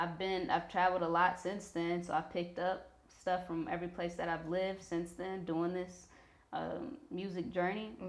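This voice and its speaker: A woman with a Missouri accent talks at a moderate pace in a medium pitch, her intonation fairly even. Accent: Missouri twang. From Missouri, US Midwest. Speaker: rapper and songwriter. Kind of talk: interview.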